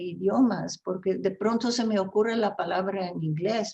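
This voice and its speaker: This woman's voice is dark, mellow and somewhat breathy. She talks at a fairly slow pace. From Flemish Belgium. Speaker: writer and translator. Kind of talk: interview. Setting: video call.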